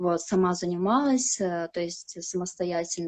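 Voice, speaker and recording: Over a quiet background, the speaker talks at a moderate pace with ordinary pitch variation. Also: woman. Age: 20s. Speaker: flight attendant. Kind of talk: interview. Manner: hesitant, many fillers.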